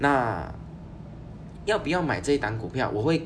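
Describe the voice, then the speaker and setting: The speech is fairly slow with lively intonation. Noticeable background noise and audible room echo surround it. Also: man. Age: 30s. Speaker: finance podcast host. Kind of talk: solo podcast monologue. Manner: casual with frequent fillers.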